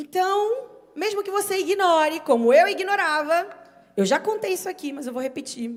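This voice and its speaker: A woman is speaking. Her pace is fairly slow. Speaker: preacher. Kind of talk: sermon.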